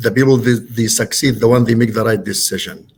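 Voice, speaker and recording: With a non-native accent, a man speaks at a moderate pace in a somewhat breathy, medium-pitched voice with fairly even intonation. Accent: foreign. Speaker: real estate broker and company owner. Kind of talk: podcast interview. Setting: podcast studio. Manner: halting, many fillers.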